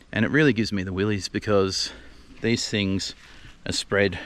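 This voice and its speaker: Here is a man with an Australian accent and a fairly low pitch. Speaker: gardening video host. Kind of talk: casual vlog tutorial. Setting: outdoors in own garden. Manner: casual, hesitant with fillers.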